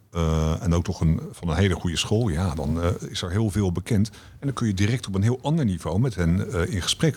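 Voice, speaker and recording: Somewhat breathy and very deep in pitch, a man talks at a fairly quick pace with lively intonation. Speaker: director of a democracy education foundation. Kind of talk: podcast interview.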